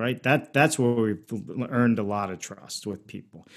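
In an unremarkable speaking voice with an American accent, the speaker moves at a fairly quick pace on a very clean recording with a silent background. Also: man. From Pittsburgh, Pennsylvania. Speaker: modular home builder. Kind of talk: interview.

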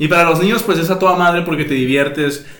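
A man's fairly high-pitched voice with ordinary pitch variation, amid noticeable background noise and audible room echo. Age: 20s. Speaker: podcast host. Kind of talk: casual chat.

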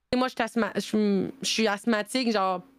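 At a moderate pace, the speaker talks in a very clean recording with a silent background. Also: woman. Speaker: streamer and nurse. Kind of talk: casual chat. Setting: live stream. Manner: animated.

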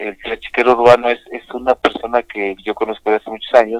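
Recorded dry and close with no echo, a man with a Mexico City accent speaks at a medium pitch. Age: 50s. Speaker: pulque bar owner. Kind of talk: interview. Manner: halting, repeats words.

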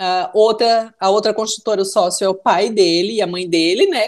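This woman talks at a moderate speed with a fairly high pitch. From Brusque, Santa Catarina, Brazil. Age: 30s. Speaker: businesswoman. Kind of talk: casual interview.

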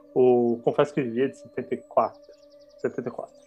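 With music in the background, a man talks at a very slow pace. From São Paulo, Brazil (Pirituba, north/west zone). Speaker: international relations graduate, podcast guest. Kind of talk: casual chat about books. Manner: halting, many repetitions.

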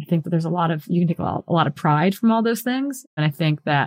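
With an American accent, a woman speaks in a fairly low, somewhat breathy voice, recorded with a dry, close sound and no echo. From Wisconsin, US Midwest. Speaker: professional trail runner and coach. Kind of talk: interview conversation.

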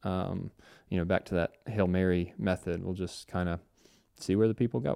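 A man with an American accent and a very deep, low pitch, dark and mellow in tone, recorded dry and close with no echo against a quiet background. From US Midwest, Cincinnati, Ohio. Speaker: podcast host, church production consultant. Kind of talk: solo podcast monologue. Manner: casual, frequent filler words.

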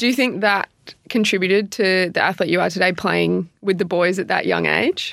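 This woman speaks at a medium pitch and a moderate pace, with vocal fry. Her intonation is fairly even and her loudness very even. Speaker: podcast host and AFLW player. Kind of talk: casual interview chat. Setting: in person, studio.

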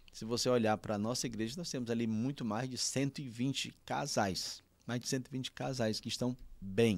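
In a very clean recording with a silent background, a man with a plain, everyday voice talks at a fairly slow pace, his medium pitch showing ordinary pitch variation. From Piauí, Brazil (União, rural). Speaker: pastor. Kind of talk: casual interview.

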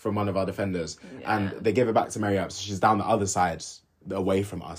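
A man with a London accent talks at a very fast clip in a fairly low voice. His delivery is somewhat breathy. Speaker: podcast host. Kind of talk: casual chat.

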